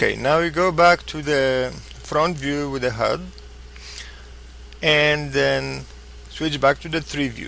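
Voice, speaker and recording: The pace is very slow, with long, frequent pauses. Noticeable background noise can be heard. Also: man. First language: not English. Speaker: flight simulator tutorial maker. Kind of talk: tutorial. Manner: halting.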